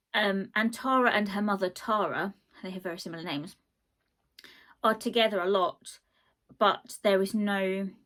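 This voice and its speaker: On a very clean recording with a silent background, a woman of medium pitch speaks at a moderate pace with ordinary pitch variation, big swings in loudness and long, frequent pauses. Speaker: book reviewer. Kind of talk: casual book review vlog. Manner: animated, rambling with fillers.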